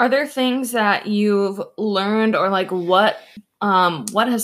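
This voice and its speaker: Using a plain, everyday voice, a woman talks at a moderate pace with ordinary pitch variation. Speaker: host's wife, guest interviewer. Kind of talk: casual interview chat.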